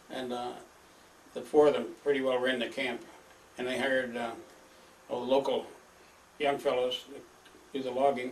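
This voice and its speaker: A man at medium pitch with a Midwestern American accent, monotone and flat, at a moderate pace broken by long, frequent pauses. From northern Michigan. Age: 80s+. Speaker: elderly father recording family history. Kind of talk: oral history monologue. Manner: halting, many filler words.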